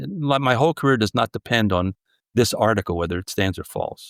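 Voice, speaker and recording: Dry and close with no echo, a man with a New Jersey accent speaks with lively intonation in a very clean recording with a silent background. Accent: American, New Jersey. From US Northeast, southern New Jersey. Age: 70s. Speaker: journalist and author. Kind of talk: interview conversation. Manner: halting, many fillers and restarts.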